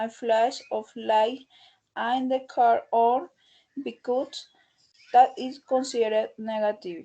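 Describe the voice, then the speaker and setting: A woman's fairly high voice with a dark, mellow tone, ordinary pitch variation and a Spanish accent. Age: 20s. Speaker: English language student. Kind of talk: class presentation. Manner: halting.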